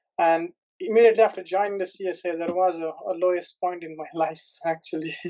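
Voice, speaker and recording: Very fast delivery in an Indian accent, with big swings in loudness and fairly even intonation. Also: man, high pitch for a man. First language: Indian language, not English. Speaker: PhD, product development analyst. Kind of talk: interview testimonial. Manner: halting, many fillers and restarts.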